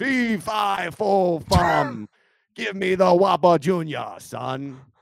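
Using a put-on character voice, a man speaks in a high pitch. His pace is very slow. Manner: playful, theatrical.

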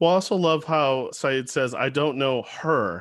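At a fairly slow pace, a man talks in a normal speaking voice with ordinary pitch variation. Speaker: poetry editor and podcast host. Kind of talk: interview.

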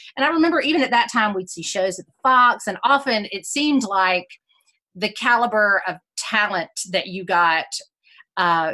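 With a Southern US accent, this voice moves at a moderate pace, its bright, sharp tone carried by lively intonation. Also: woman. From South Carolina. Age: 40s. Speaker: musical theater historian. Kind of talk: interview conversation. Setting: video call. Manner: energetic.

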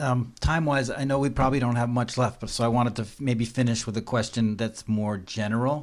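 In a normal speaking voice, a man talks at a fairly quick pace with hardly any pauses, his pitch in the medium range. The recording is very clean, with a silent background. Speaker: podcast host. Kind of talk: interview chat. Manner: friendly, upbeat.

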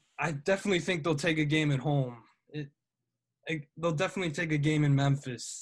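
The speech comes in a plain, everyday voice at a fairly quick pace. Pitch varies in an ordinary way over a quiet background. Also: man. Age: 20s. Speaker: college student and sports writer. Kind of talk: casual chat.

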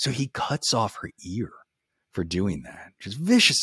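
A man speaks with a bright, sharp tone and vocal fry. His pitch swings very widely, and the sound is dry and close with no echo. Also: very clean recording, silent background. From New Orleans, Louisiana. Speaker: podcaster and ghost tour guide. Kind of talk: casual chat with storytelling.

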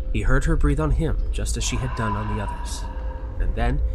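Over music in the background, a man with a very deep, low pitch talks at a fairly quick pace with very wide pitch swings. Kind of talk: scripted narration of a ghost story. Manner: measured, theatrical storyteller pacing.

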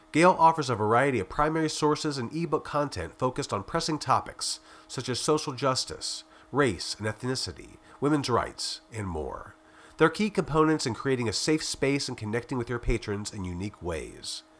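An ordinary speaking voice at a moderate pace, with lively intonation. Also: man, medium pitch for a man. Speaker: podcast host, magazine editor. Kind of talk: scripted narration.

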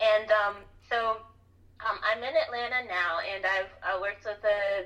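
A woman with an American accent speaks at a fairly high pitch with ordinary pitch variation. Noticeable background noise runs underneath. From US South. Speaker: copywriter and freelance writer. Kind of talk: podcast interview.

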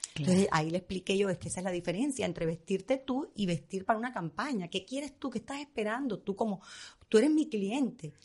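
Speaking at a very fast pace, a woman sounds somewhat breathy, with lively intonation. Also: medium pitch for a woman. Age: 50s. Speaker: fashion stylist. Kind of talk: casual chat.

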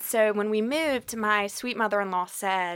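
Recorded very cleanly against a silent background, a woman with an unremarkable speaking voice talks at a medium pitch and a moderate pace. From Atlanta, US South. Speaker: arts patron, initiative founder. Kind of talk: casual interview.

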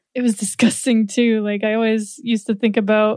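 This woman has a fairly high pitch and speaks at a moderate pace. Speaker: podcast editor and musician. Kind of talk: casual chat.

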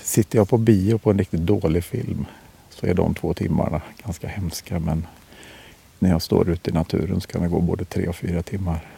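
A man with a very deep, low pitch and a dark, mellow tone talks at a fairly quick pace, somewhat breathy, with ordinary pitch variation, in a dry, close recording with no echo. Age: 50s. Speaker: hunter. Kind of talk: interview. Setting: outdoors on a hunting stand. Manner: quiet, hushed.

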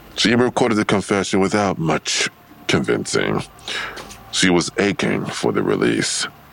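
A man uses a put-on character voice at an extremely low pitch, with vocal fry and big pitch swings. He goes at a fairly slow pace, his tone fairly bright.

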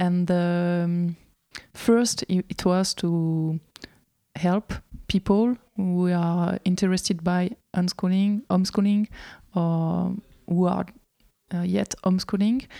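Very slow and marked by long, frequent pauses, a woman speaks at a fairly low pitch with a dark, mellow tone and fairly even intonation, the sound dry and close with no echo. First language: French. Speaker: homeschooling association representative. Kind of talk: interview. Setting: in a friend's house. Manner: halting, many fillers.

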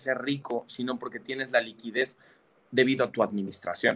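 A man with an unremarkable speaking voice talks at a moderate pace in a medium pitch. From Mexico. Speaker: financial advisor. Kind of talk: casual chat.

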